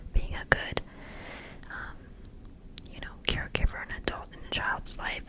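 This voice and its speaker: Whispering comes through amid noticeable background noise. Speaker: college student; ASMR creator. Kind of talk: ASMR Q&A, close whispering. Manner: whispered.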